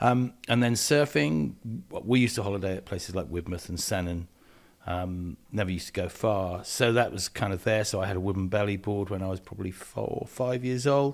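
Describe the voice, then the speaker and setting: A man's fairly low voice at a fairly quick pace, with ordinary pitch variation, on a very clean recording with a silent background. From southwest England (Devon, edge of Dartmoor). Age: 60s. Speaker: environmental activist. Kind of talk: interview. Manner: hesitant, many fillers.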